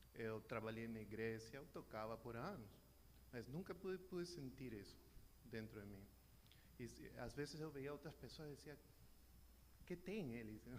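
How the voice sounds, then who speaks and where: With vocal fry and lively intonation, a man of medium pitch speaks at a moderate pace, leaving long, frequent pauses in audible room echo. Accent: Peruvian. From Peru. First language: Spanish (speaking Portuguese). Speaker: church member. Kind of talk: testimony. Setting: church. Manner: halting.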